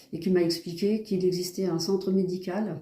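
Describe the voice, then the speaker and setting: This woman has a dark, mellow tone at medium pitch, delivered in a monotone, flat intonation. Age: 60s. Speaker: patient. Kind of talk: testimony. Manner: hesitant, many filler sounds.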